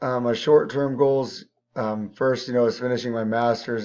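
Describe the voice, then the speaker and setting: A man's medium-pitched voice at a moderate pace. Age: 30s. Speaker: teacher and coach. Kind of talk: class intro video. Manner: halting, many fillers.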